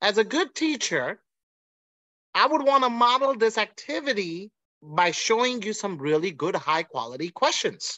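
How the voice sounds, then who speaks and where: Animated in tone, a man with a high pitch speaks at a moderate pace, making very wide pitch swings over a quiet background. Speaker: language teacher and nonprofit founder. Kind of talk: webinar presentation. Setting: video call. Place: home room. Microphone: video call.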